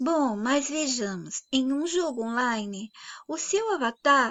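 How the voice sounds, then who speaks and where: She has a high voice with very wide pitch swings. The woman speaks at a very slow pace. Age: 60s. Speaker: channel host, philosophy talk. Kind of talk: monologue lecture.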